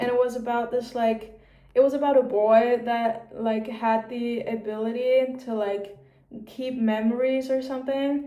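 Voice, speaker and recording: A woman's high voice with a German accent, monotone and flat, at a fairly slow pace amid audible room echo. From Austria. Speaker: vlogger. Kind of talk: casual chat. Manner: casual, filler-heavy.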